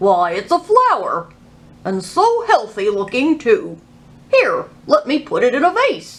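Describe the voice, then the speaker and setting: In a put-on character voice, the speaker goes at a fairly slow pace with very wide pitch swings. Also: woman, high pitch for a woman. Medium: read story.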